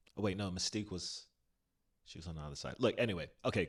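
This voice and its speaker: Speaking with a British accent, a man with a very deep, low pitch talks fairly quickly in an animated tone with ordinary pitch variation. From South Florida (Broward County). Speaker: podcast co-host, stage performer. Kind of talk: casual chat.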